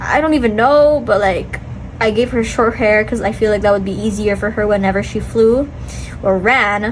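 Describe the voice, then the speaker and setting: A woman talks in an animated tone at a fairly high pitch and moderate pace, with ordinary pitch variation. Room echo is audible, along with noticeable background noise. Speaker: amateur artist, vlogger. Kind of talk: casual chat.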